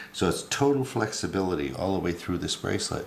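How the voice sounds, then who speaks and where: Lively intonation carries this man's fairly quick delivery. Audible room echo can be heard. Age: 80s+. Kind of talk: tutorial. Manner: hesitant, many fillers.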